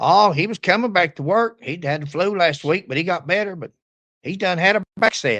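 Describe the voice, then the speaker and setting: In an Appalachian accent, the speaker has a bright, sharp tone and lively intonation at a moderate pace. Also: man. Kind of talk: casual talk to camera.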